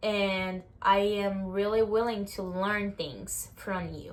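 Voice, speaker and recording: A woman of medium pitch speaks with a strong Brazilian accent. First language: Portuguese. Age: 20s. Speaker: vlogger. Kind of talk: casual talk to camera.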